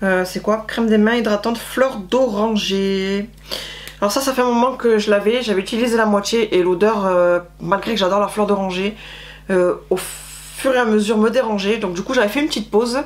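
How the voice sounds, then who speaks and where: Noticeable background noise sits under a woman speaking at a fairly high pitch. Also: fairly even intonation, moderate pace. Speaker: beauty vlogger. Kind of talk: casual product review. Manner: breathless, hesitant with euh.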